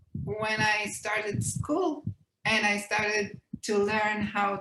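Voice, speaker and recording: A woman with an Israeli accent at medium pitch and a very slow pace. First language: Hebrew. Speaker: children's book author and illustrator. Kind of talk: interview. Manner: hesitant, many fillers.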